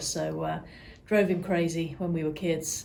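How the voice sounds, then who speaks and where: Against audible room echo, a woman with an English accent speaks at a moderate pace and a fairly low pitch. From England, near London. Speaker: real estate client care coordinator. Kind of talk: interview.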